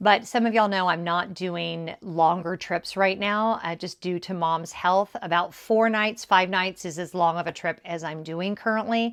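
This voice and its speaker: A woman talks at a moderate pace with a medium pitch and ordinary pitch variation. Her tone is relaxed, and the background is quiet. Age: 50s. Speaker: lifestyle YouTuber. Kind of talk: casual chat. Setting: at home decorating a tree. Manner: relaxed, chatty.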